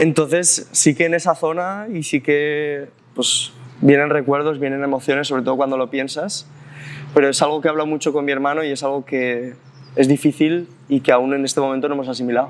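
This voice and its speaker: Over noticeable background noise, a man speaks fairly quickly at a fairly high pitch with fairly even intonation. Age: 20s. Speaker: special education teacher. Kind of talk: interview. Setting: outdoors in a park.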